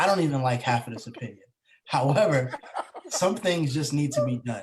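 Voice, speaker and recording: A man with a fairly high, somewhat breathy voice talks fairly quickly with lively intonation. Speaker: podcast co-host. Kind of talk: casual chat.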